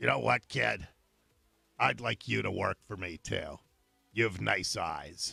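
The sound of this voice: Using a put-on character voice, a man sounds raspy and very deep, with very wide pitch swings. He goes at a fairly slow pace with long, frequent pauses.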